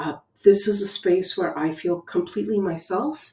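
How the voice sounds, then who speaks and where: A woman at a moderate pace. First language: Spanish. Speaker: educator. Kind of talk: reflective talk. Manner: many filler ums.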